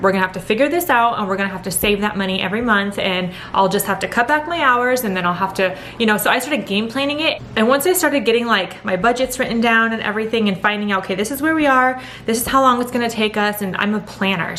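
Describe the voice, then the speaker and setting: A woman's very fast, animated speech with hardly any pauses, fairly high pitch and ordinary pitch variation, plus audible room echo and noticeable background noise. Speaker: vlogger. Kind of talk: casual chat.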